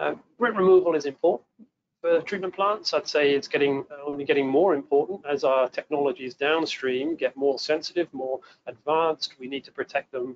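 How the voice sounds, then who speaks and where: A man with an English accent talks at a fairly quick pace in a fairly high voice with ordinary pitch variation. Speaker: water treatment engineer presenting a webinar. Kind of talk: technical webinar presentation. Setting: webinar broadcast.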